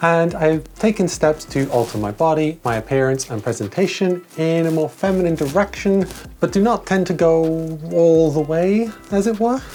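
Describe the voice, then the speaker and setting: Speaking at a moderate pace, a woman has a fairly low pitch, lively intonation and a relaxed, dark, mellow tone. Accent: Welsh. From Wales. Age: 30s. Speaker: video essayist. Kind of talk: video essay, casual vlog. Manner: relaxed, chatty.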